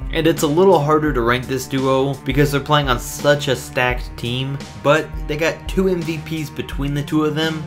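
With music in the background, a man talks at a moderate pace with ordinary pitch variation. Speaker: sports video narrator. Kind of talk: commentary.

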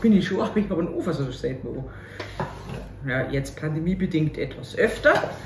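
A woman with a fairly low pitch talks at a fairly quick pace. Light background noise and audible room echo are present. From Upper Bavaria, Germany. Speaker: cabaret artist. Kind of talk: casual talk to camera, cooking video. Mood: cheerful, joking. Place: kitchen. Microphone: camera far.

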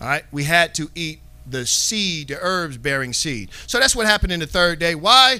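At a moderate pace, a man speaks at a high pitch with very wide pitch swings. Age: 40s. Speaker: bible teacher. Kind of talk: bible class. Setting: live online class. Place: studio. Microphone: handheld.

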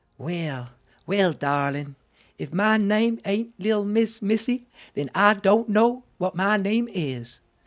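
Doing a put-on character voice, a man drawls at a fairly slow pace with a high pitch, on a very clean recording with a silent background. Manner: sweet, drawling.

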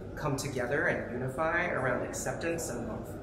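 Audible room echo and loud background noise surround a man as he speaks. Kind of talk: interview answer. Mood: earnest, reflective. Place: hall. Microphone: lapel.

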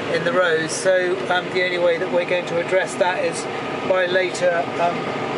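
Loud noise fills the background while the talking keeps a moderate pace. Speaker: farmer driving the tractor. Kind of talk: casual commentary while working. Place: farm machine.

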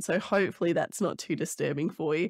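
A woman's voice with ordinary pitch variation, a dry sound with no echo and a quiet background. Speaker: podcast host. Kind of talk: casual podcast chat. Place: home room. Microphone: studio mic.

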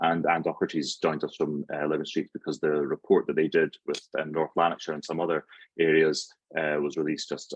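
With an Edinburgh accent, a man talks at a fairly quick pace. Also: dry, close sound with no echo. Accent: Scottish (Edinburgh). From Scotland, suburban Edinburgh. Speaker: network forum host / facilitator. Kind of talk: meeting introduction.

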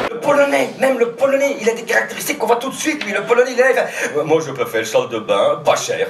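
A man speaks at a very fast pace with hardly any pauses. There is audible room echo and light background noise. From Belgium, La Louvière (Hainaut); Belgium. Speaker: comedian. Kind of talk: casual interview during a town walk. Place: stage. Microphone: headset.

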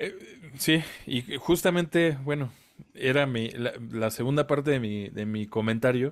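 A man with an ordinary speaking voice talks at a fairly slow pace and a medium pitch. His pitch variation is ordinary, and the background is quiet. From Mexico. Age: 30s. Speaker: independent musician, podcast co-host; podcast co-host. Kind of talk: casual chat. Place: home room.

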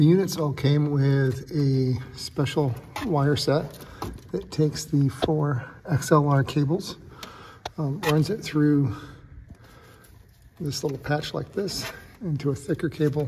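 Over light background noise, a man talks at a fairly slow pace with ordinary pitch variation and long, frequent pauses. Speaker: person reviewing audio gear. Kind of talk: tutorial. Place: church. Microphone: phone near.

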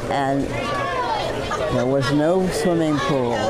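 A woman's voice against loud background noise. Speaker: retired swim coach. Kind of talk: interview answer. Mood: warm, grateful. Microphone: lapel.

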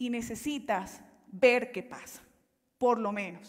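Her voice sits fairly high for a woman. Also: quiet background. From Colombia, Caribbean coast (Valledupar); Colombia. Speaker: life coach and consultant; life coach. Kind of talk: motivational talk. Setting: stage with audience. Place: stage.

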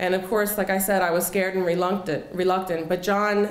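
A woman speaks at a moderate pace with an American accent. Room echo can be heard. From Philadelphia, US. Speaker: storyteller. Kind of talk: personal storytelling performance. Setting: stage with audience. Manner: animated, conversational, expressive. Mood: earnest, reflective. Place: cafe. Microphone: handheld.

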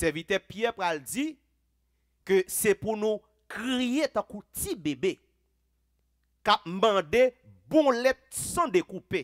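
In a Haitian accent, a man speaks at a high pitch with very wide pitch swings, at a very slow pace with long, frequent pauses. The background is quiet. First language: Haitian Creole (speaking French). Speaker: pastor. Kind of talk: sermon. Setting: church. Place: church. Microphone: headset.

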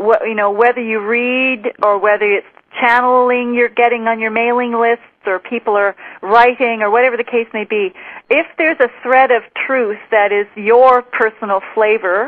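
At a moderate pace, a woman with a normal speaking voice talks at a fairly high pitch with fairly even intonation. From Western Canada, Vancouver Island. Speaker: spiritual teacher. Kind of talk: interview.

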